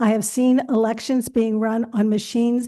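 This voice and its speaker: Against a quiet background, a woman with a fairly high pitch and a dark, mellow tone speaks at a fairly slow pace. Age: 80s+. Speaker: public commenter. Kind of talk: public comment at board meeting. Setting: public board meeting.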